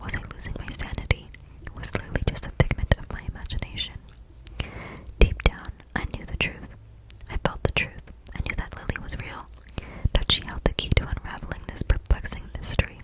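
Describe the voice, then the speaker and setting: Whispering at a fairly quick pace, a woman leaves long, frequent pauses, her loudness swinging widely, with noticeable background noise behind her. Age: 20s. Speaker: ASMR creator. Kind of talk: story reading. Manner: whispered.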